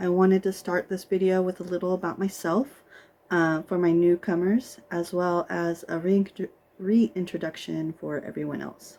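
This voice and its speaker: With an American accent, a woman speaks at a moderate pace in a fairly low voice with a dark, mellow tone. Her intonation stays fairly even. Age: 40s. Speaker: cross-stitch vlogger. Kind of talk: show-and-tell video monologue. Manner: casual, many filler ums.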